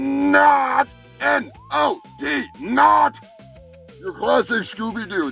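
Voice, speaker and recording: Faint music plays in the background as a man uses a put-on character voice with a fairly high pitch at a very slow pace. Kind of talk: stoner rant review. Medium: solo performance. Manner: rambling, profane, stumbling over words.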